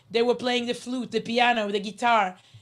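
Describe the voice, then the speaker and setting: A woman with an Israeli accent talks at a moderate pace. Her voice is high-pitched, and her intonation is fairly even. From Israel (Herzliya). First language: Hebrew. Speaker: journalist, speaker. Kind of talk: motivational talk. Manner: halting, many fillers.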